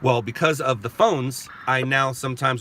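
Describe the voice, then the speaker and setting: Noticeable background noise fills the clip. The voice carries an American accent. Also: man. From California. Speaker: live-stream host. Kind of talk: casual live-stream talk.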